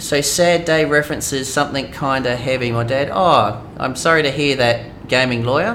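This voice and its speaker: Audible room echo around a man's medium pitch, fairly slow pace and ordinary pitch variation. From Australia. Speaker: gaming streamer. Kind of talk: live stream chat. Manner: hesitant, many fillers.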